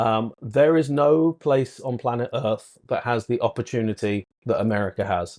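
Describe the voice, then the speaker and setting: In a British accent, a man with a medium pitch speaks at a moderate pace with ordinary pitch variation and hardly any pauses, in a dry, close sound with no echo. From Britain. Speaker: points and miles consultant. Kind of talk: podcast interview.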